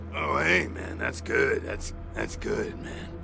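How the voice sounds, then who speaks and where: A raspy, put-on character voice from a man, with clear background noise. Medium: video game. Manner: laid-back, halting, says "man" a lot.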